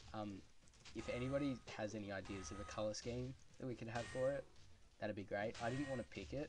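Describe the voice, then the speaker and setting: A man with an Australian accent over music in the background. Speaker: gaming YouTuber. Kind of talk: gameplay commentary. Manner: casual, hesitant with many ums; clipped, squished words.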